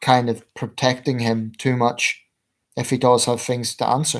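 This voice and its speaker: A man with a Belfast accent speaks at a fairly slow pace and medium pitch in a very clean recording with a silent background. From Northern Ireland, Belfast. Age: 30s. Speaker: political commentator, livestreamer. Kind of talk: livestream Q&A. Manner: hesitant, many fillers.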